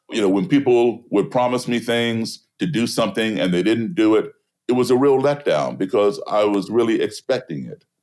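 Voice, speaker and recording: A man with an American accent talks at a moderate pace and medium pitch. He has ordinary pitch variation and an unremarkable speaking voice. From US, embassy kid raised partly abroad. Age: 60s. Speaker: blues musician and race-relations activist. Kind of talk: interview conversation.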